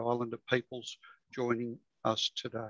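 A man with an Australian accent, over a quiet background, in a dry sound with no echo. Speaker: local studies librarian; presenter. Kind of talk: presentation. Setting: video call. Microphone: video call.

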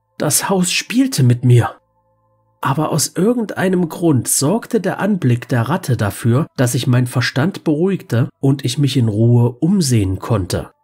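A man speaks at a fairly slow pace with a fairly high pitch and lively intonation. Music plays in the background. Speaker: creepypasta narrator. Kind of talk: scripted horror story narration, read aloud in first person. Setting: studio, solo voice recording. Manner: hushed, slow, suspenseful build, then shaking and panicked at the climactic moments; dread-laden, breathless, with a manic, cracking laugh at the end.

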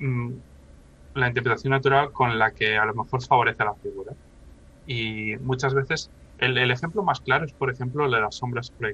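Fairly quick and fairly even in intonation, a man's medium-pitched voice has a bright, sharp tone and a dry sound with no echo. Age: 30s. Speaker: professional miniature painter; interview guest. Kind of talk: casual interview chat. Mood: calm, explanatory. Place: home room. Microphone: video call.

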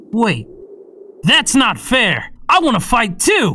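A put-on character voice pitched fairly high swings very widely in pitch. The pace is very slow.

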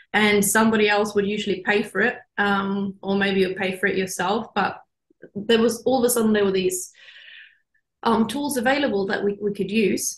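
Moderate pace from a woman with a medium pitch, a somewhat breathy voice and fairly even intonation, in a quiet background with audible room echo. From Norway. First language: Norwegian. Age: young. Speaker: marine biologist; guest. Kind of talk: interview. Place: office. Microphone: video call.

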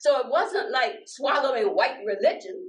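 Against a quiet background, a woman speaks at a moderate pace. Her pitch swings very widely. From US South, Norfolk, Virginia; Virginia. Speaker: minister and elder; minister. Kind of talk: conversation. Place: church.

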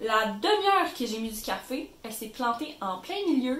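With an animated tone and a Quebec accent, a woman speaks amid audible room echo and noticeable background noise. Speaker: YouTuber. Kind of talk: tutorial.

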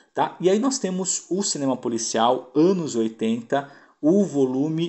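A man speaks very slowly with lively intonation. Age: 40s. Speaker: home video label presenter. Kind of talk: product presentation. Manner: casual, with frequent fillers.

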